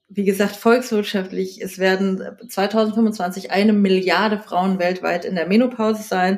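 A woman speaks at a fairly slow pace with monotone, flat intonation. Noticeable background noise runs under her voice. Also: medium pitch for a woman. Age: 40s. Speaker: magazine editor and author. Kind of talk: casual interview.

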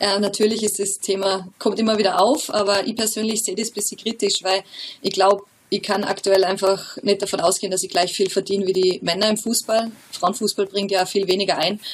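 Fairly quick delivery in a monotone, flat intonation. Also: woman, medium pitch for a woman. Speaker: professional footballer. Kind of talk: interview.

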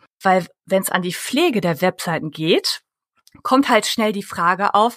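At a fairly slow pace, a woman speaks with very wide pitch swings. The sound is dry and close, with no echo. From Germany. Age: 30s. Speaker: public relations consultant. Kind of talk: interview.

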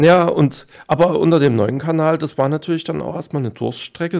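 A man at a fairly quick pace, his intonation fairly even. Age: 30s. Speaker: streamer. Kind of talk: casual chat.

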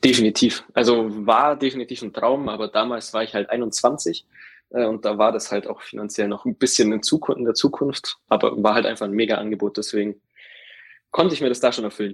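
An unremarkable speaking voice from a man at medium pitch, fairly quick in pace with fairly even intonation, in a very clean recording with a silent background. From Allgäu, Bavaria (Kempten). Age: 20s. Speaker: insurance field sales employee. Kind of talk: interview.

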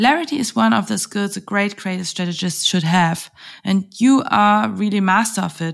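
Woman with a German accent at a moderate pace, very wide pitch swings, on a very clean recording with a silent background. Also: medium pitch for a woman. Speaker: podcast host. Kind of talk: interview.

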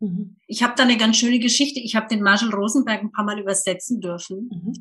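The speaker is a woman. Her intonation rises and falls in an ordinary way. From Germany, Lower Franconia. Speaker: communication trainer. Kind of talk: interview.

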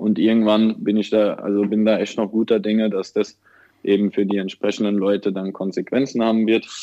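A man's fairly low-pitched voice at a fairly quick pace, monotone and flat in intonation. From Germany, Mannheim/Ludwigshafen area. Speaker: aid worker. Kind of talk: interview.

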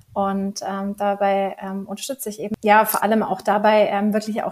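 A woman's somewhat breathy voice at a medium pitch, moderate pace and monotone, flat intonation. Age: 30s. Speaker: life coach. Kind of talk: casual interview.

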